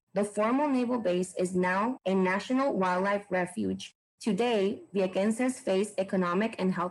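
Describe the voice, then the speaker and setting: This woman speaks in a Puerto Rican accent at a medium pitch. Her pace is moderate and her pitch variation ordinary. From Puerto Rico. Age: 20s. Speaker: former library intern. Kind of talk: scripted narration.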